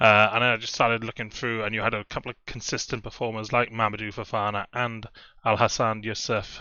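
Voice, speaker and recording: Medium-pitched man in a Welsh accent, fairly quick, with monotone, flat intonation. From Wales. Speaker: fantasy football content creator. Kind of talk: casual video commentary. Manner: hesitant, many fillers.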